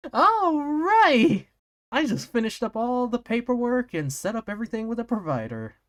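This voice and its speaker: Fairly high-pitched put-on character voice. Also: moderate pace. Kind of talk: comic read-aloud on stream. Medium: game stream.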